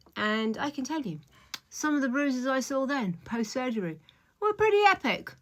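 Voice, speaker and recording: The speaker is a woman. She has a British accent. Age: 60s. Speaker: beauty vlogger, stylist. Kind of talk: makeup tutorial vlog. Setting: at home in front of the mirror. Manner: casual, chatty with fillers.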